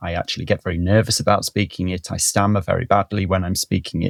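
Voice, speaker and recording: A man talks at a fairly quick pace in a Welsh accent, with fairly low pitch. His intonation is fairly even, and the sound is dry and close with no echo. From Wales. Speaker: botanist. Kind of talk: interview.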